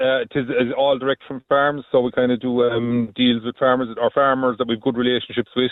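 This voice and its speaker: Speaking fairly quickly, a man with a slight Kerry accent keeps a monotone, flat intonation. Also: medium pitch for a man, hardly any pauses. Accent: slight Kerry twang. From Ireland, County Limerick (born County Kerry). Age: 50s. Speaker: farmer. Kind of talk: radio phone-in interview. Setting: phone call. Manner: halting, with many fillers.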